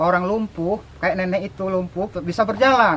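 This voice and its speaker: Over noticeable background noise, a man with a high pitch speaks at a fairly slow pace with ordinary pitch variation. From Indonesia, Jambi (Kuala Tungkal). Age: 60s. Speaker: craftsman. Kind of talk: interview. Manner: hesitant, many fillers.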